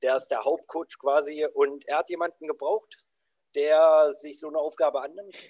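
A man with an unremarkable speaking voice talks at a moderate pace, fairly high in pitch with fairly even intonation. His loudness swings widely, and the sound is dry and close with no echo. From southern Saxony-Anhalt, Germany. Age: 20s. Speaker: anti-bullying coach. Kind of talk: podcast interview.

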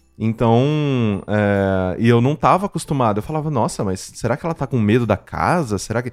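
Here is a man with an unremarkable speaking voice at medium pitch. He uses lively intonation at a moderate pace. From Mococa, São Paulo state, Brazil. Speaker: podcast producer and podcaster. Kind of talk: casual chat. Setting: remote call.

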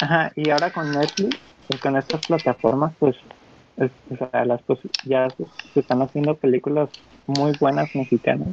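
Using fairly even intonation at a fairly high pitch, a man speaks at a moderate pace with long, frequent pauses in a dry, close sound with no echo. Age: young. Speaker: podcast co-host. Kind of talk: casual chat.

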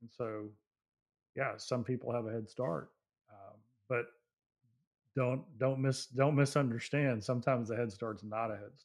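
A man's calm, medium-pitched voice at a moderate pace, fairly even in intonation but with big swings in loudness and long, frequent pauses, on a very clean recording with a silent background. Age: 50s. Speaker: motivational speaker and CEO. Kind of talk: interview.

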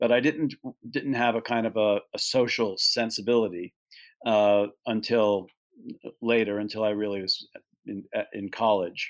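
On a very clean recording with a silent background, a man with an American accent and an unremarkable speaking voice keeps a fairly even intonation. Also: medium pitch for a man, moderate pace. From New York. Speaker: animal sanctuary co-founder. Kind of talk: interview.

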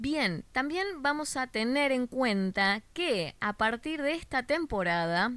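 The voice has a Rioplatense accent and very wide pitch swings. The recording is very clean, with a silent background. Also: woman. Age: 30s. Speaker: image consultant podcast host. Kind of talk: solo podcast talk, advice monologue.

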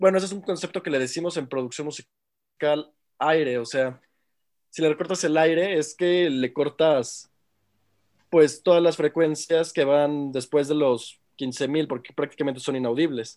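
In an ordinary speaking voice, a man talks at a fairly slow pace with fairly even intonation and fairly high pitch. The recording is very clean, with a silent background. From Mexico. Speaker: music production student. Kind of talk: casual chat.

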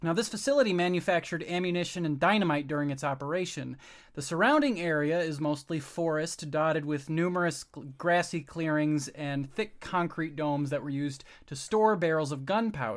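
A man with an ordinary speaking voice talks at a fairly quick pace, his pitch fairly high with ordinary variation. The recording is very clean, with a silent background. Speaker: co-host. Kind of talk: casual comedic podcast chat.

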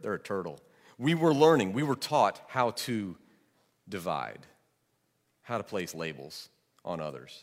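At a moderate pace, a man with an American accent speaks at a fairly low pitch, with very wide pitch swings and long, frequent pauses. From Georgia, US South. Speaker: pastor. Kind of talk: sermon.

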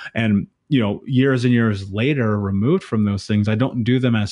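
With ordinary pitch variation, the man speaks at a moderate pace. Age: 30s. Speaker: trauma coach. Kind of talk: casual chat. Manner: animated.

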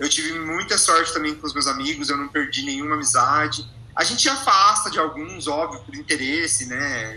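Over noticeable background noise and audible room echo, a man with a fairly high pitch speaks at a moderate pace with ordinary pitch variation and hardly any pauses. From Goiás, Brazil (small inland town). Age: 20s. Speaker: advertising professional. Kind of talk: casual chat. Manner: halting.

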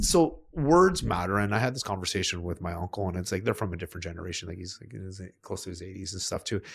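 On a very clean recording with a silent background, a man speaks very fast and sounds somewhat breathy. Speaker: podcast host. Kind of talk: casual discussion. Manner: animated, colloquial.

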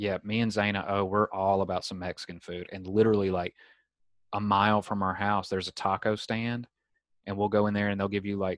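A man with a Southern US accent, a fairly low pitch and monotone, flat intonation, at a moderate pace. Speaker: podcast host. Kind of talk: casual chat.

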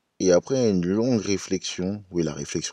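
Very deep and low in pitch, a man's voice has a dark, mellow tone and ordinary pitch variation, moving at a fairly slow pace in a dry, close sound with no echo against a quiet background. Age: young. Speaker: podcast host. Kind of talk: casual podcast monologue.

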